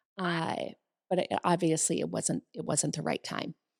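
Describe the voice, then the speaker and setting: A woman speaks at a moderate pace in a very deep, low pitch with vocal fry. The sound is dry and close with no echo, and the recording is very clean with a silent background. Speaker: co-host and salon business owner. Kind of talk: casual chat. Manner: halting, many repetitions.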